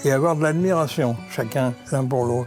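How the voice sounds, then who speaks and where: The voice has ordinary pitch variation, with music in the background. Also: man. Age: old. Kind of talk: interview answer. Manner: humorous.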